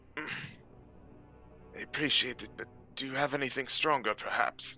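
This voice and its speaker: A man performs a put-on character voice at medium pitch. He keeps a moderate pace over clear background noise. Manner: polite, refined.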